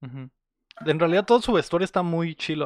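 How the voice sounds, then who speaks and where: A man with a Mexican accent speaks at a fairly high pitch with lively intonation, his voice dry and close with no echo against a quiet background. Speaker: podcast host, film reviewer. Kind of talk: casual chat. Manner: animated.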